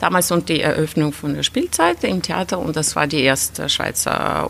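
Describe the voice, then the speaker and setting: Her voice very deep and low with vocal fry, a woman speaks at a moderate pace with ordinary pitch variation. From Lithuania, Russian-speaking family. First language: Russian (speaking German). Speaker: opera singer. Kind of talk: interview.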